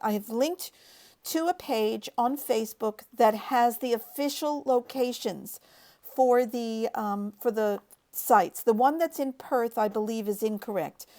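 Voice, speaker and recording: In a very clean recording with a silent background, a woman with an Australian accent speaks at a moderate pace in a high voice with ordinary pitch variation. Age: 60s. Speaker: online show host. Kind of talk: live broadcast monologue. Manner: animated.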